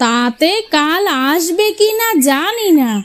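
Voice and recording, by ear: In a cartoonish character voice, a woman speaks slowly at an extremely high pitch, with big swings up and down.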